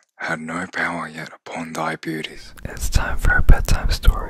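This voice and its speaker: Whispering in a calm tone, the speaker keeps a moderate pace. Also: man. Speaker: performer doing ASMR interview. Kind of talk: soft ASMR reading and chat. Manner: deep, calm, hushed ASMR voice. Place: home room. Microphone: studio mic.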